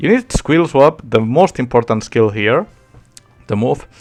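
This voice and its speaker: Music plays behind a man whose lively intonation carries along at a middling speed. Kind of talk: game tutorial talk. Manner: casual.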